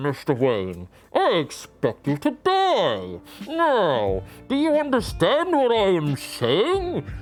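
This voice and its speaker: A man does a put-on character voice, high-pitched and at a very slow pace. His loudness stays very even, with faint music in the background. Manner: muffled, menacing.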